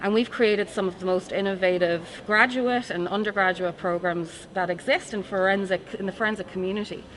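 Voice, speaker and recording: Amid noticeable background noise, a woman with an Irish accent and a medium pitch talks at a fairly quick pace with hardly any pauses and fairly even intonation. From Ireland. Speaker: forensic science professor. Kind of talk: interview.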